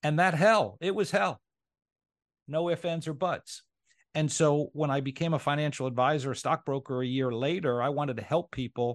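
Recorded with a dry, close sound, no echo, and a quiet background, a man speaks at a moderate pace in a fairly high voice with ordinary pitch variation. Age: 50s. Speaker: insurance agency owner and former financial advisor. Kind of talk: interview. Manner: halting, with frequent repetitions.

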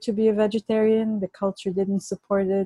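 Dry and close with no echo, a woman speaks at a fairly quick pace in a Bulgarian accent, her tone dark and mellow. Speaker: Ayurvedic chef and author. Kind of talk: interview conversation.

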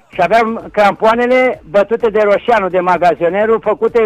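Over noticeable background noise, a man speaks at a moderate pace in a high pitch with ordinary pitch variation, the sound dry and close with no echo. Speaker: retired football player and coach. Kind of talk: phone interview.

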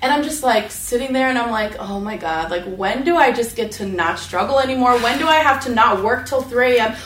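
Over noticeable background noise, a woman with an American accent speaks fairly quickly at a high pitch with ordinary pitch variation. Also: hardly any pauses. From Las Vegas, Nevada. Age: 30s. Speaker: state legislator. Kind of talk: panel discussion. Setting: stage with audience.

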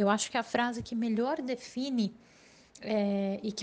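Somewhat breathy and very slow, a woman speaks at a fairly high pitch with ordinary pitch variation. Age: 30s. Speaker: purchasing manager. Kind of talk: recorded testimony.

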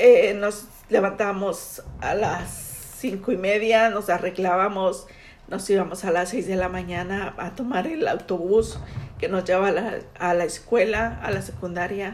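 A woman with a medium-pitched voice speaks fairly slowly and with fairly even intonation, with audible room echo around her. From Mexico City. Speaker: immigrant mother interviewed by daughter. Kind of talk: family interview. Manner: halting, with hesitations.

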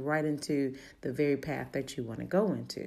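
A woman's very deep, low voice with vocal fry and a dark, mellow tone, in a slight Baltimore accent at a moderate pace. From Baltimore, Maryland. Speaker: motivational speaker and podcast host. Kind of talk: motivational talk.

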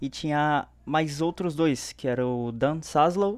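A man speaks at a very slow pace. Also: quiet background. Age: 20s. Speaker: fan page creator. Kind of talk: casual chat.

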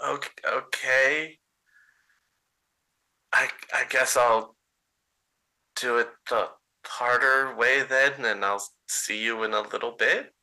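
In a put-on character voice, the speaker sounds shaky and nervous, moving at a very slow pace with long, frequent pauses. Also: man, medium pitch for a man. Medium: actual play. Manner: nervous, evasive.

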